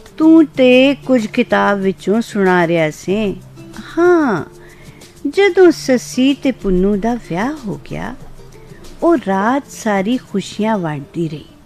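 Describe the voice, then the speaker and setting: A woman's fairly high voice with very wide pitch swings, over background music. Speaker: radio presenter. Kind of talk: Punjabi story narration.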